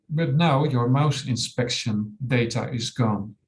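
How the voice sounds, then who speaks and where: A somewhat breathy man with a Dutch accent speaks at a very slow pace with ordinary pitch variation. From Netherlands. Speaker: software company owner. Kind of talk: webinar tutorial. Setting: online webinar.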